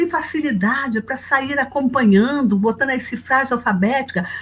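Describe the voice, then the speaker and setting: A woman's high-pitched voice at a moderate pace. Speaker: music professor. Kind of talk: webinar talk.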